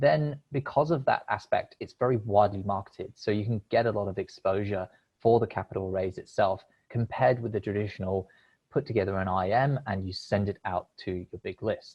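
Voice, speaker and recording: A man speaks at a fairly quick pace and fairly low pitch. His voice is somewhat breathy, with ordinary pitch variation. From United Kingdom. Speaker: crowdfunding platform representative. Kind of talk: presentation.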